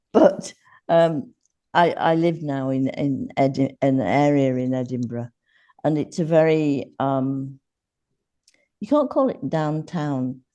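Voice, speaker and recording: A woman with an English accent has a very deep, low pitch and a dark, mellow tone. She talks at a very slow pace with ordinary pitch variation and long, frequent pauses. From Yorkshire, northern England. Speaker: podcast guest, former teacher. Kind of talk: podcast interview.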